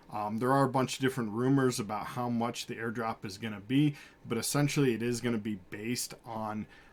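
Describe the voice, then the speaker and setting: A man with a medium pitch talks at a fairly quick pace with fairly even intonation. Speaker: crypto YouTuber. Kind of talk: screen-share tutorial. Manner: fast; casual with frequent fillers.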